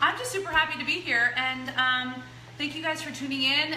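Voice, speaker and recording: In a room with audible echo and noticeable background noise, a woman speaks. Her pitch is high and her pace fairly quick. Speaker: cooking show host and personal trainer. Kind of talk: casual cooking demonstration. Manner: fast.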